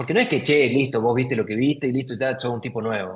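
A man with a Rioplatense accent, somewhat breathy, at a fairly quick pace. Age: 30s. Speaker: psychologist. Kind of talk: interview, explanatory. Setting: video call.

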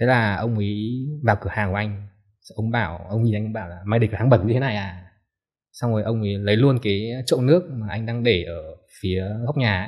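A man's somewhat breathy, fairly low-pitched voice against a quiet background. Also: ordinary pitch variation, moderate pace. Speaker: book editor; podcast guest. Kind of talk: casual chat. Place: studio.

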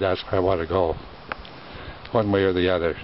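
A man with an American accent speaks in a very deep, low, monotone, flat voice. The sound is dry with no echo, over light background noise. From US Midwest, northern Wisconsin. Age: 90s. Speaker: hunter. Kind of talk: interview. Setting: outdoors. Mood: proud, nostalgic, cheerful.

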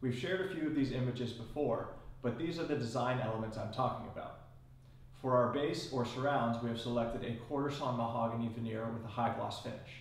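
There is audible room echo as a man talks at a fairly quick pace. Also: medium pitch for a man, ordinary pitch variation.

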